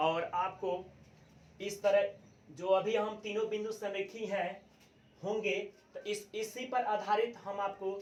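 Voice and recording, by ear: Audible room echo carries a man's high-pitched voice, which keeps fairly even intonation at a fairly slow pace.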